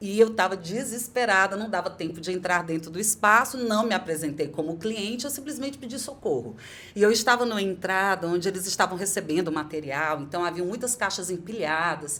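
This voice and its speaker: Bright and sharp in tone, a woman speaks with lively intonation and hardly any pauses. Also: medium pitch for a woman, fairly quick pace. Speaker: podcast host and voice coach. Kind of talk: podcast conversation.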